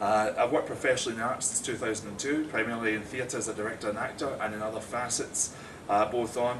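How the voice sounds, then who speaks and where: A man of medium pitch talks at a fairly quick pace with a Scottish accent and fairly even intonation. Noticeable background noise and audible room echo are present. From Scotland. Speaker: theatre director and actor. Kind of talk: prepared talk to small audience. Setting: small live audience, recorded.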